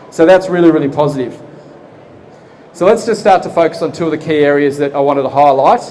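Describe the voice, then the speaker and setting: Speaking very fast yet with long, frequent pauses, a man with an Australian accent is heard over noticeable background noise. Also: fairly high pitch for a man, ordinary pitch variation. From Australia, Geelong, Victoria. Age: 40s. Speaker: property investment presenter. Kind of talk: seminar presentation. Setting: expo seminar room with live audience. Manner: conversational, engaging audience.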